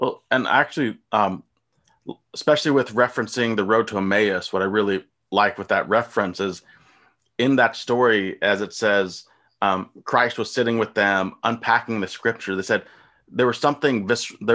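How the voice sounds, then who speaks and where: Against a quiet background, a man with an American accent and a plain, everyday voice speaks at a moderate pace in a fairly low pitch, with ordinary pitch variation. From US, rural. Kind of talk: casual chat.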